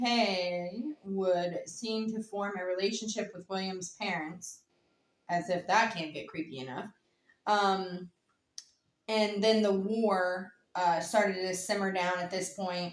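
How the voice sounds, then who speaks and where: The speaker has a Southern US accent. Delivery is very slow, with fairly even intonation. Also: woman, medium pitch for a woman. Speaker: true crime podcast co-host. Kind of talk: casual storytelling chat.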